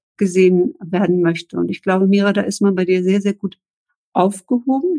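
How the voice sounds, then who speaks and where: A woman's plain, everyday voice, moderate in pace, with ordinary pitch variation. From northern Germany (Eckernförde, Baltic coast). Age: 40s. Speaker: podcast host. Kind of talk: interview. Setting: video live stream.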